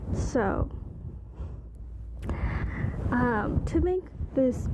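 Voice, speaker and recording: Soft-spoken whispering at a very slow pace over noticeable background noise. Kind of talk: casual talk to camera, stress-relief ASMR talk.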